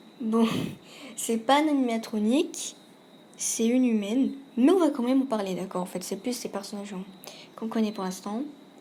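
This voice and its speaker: Woman's fairly high voice with a dark, mellow tone, moderate pace, long, frequent pauses and ordinary pitch variation. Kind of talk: casual video game commentary. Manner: hesitant, some stammering.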